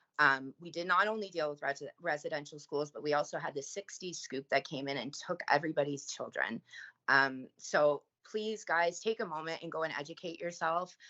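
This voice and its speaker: Ordinary pitch variation at a moderate pace, with big swings in loudness. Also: woman, very deep, low pitch for a woman. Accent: strong Canadian. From Canada. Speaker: recovering addict and trafficking survivor. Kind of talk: public service announcement; podcast interview.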